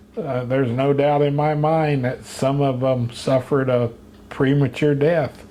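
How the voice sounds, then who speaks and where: Against noticeable background noise, someone with an American accent speaks at a fairly slow pace. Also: man. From Pine Island, Florida. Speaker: commercial fisherman. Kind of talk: interview answer.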